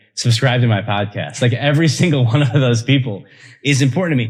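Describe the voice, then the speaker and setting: A man with an American accent at a fairly quick pace, on a very clean recording with a silent background. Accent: Chicago accent, comes out on some words. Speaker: podcast host. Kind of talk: casual interview chat.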